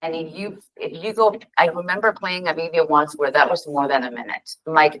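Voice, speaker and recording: With a strong Catalan accent, a woman speaks at a fairly low pitch with ordinary pitch variation and big swings in loudness. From Spain (Catalonia). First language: Spanish. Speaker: tech company executive. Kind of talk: conference presentation. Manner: fast.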